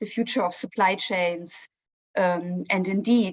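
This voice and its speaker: A woman with a German accent, medium-pitched and fairly even in intonation, at a fairly slow pace, with a dry, close sound and no echo. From Germany. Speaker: consulting research director. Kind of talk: webinar presentation.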